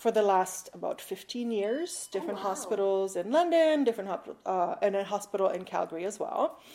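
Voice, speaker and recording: A woman's medium-pitched voice in a Canadian accent, fairly quick with hardly any pauses and lively intonation, amid noticeable background noise. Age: 40s. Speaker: guest sharing mental health story. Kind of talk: interview testimony. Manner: halting, many fillers.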